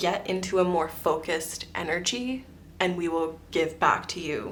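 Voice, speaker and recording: A woman's fairly low voice at a moderate pace, with ordinary pitch variation, audible room echo and music in the background. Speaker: tarot reader. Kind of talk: psychic tarot reading.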